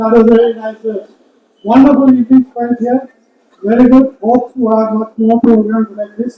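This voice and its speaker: This man's voice has an extremely high pitch and monotone, flat intonation. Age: 70s. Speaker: filmmaker and historian. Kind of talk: event speech.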